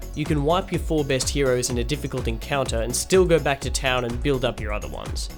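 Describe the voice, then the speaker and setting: A man speaks at a fairly quick pace with music playing in the background. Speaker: gaming video creator. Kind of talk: video essay narration. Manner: dry, sarcastic humour.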